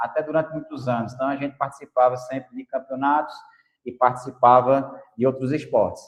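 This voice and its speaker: Fairly quick speech from a man, monotone and flat in intonation. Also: medium pitch for a man. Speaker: podcast host. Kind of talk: podcast interview.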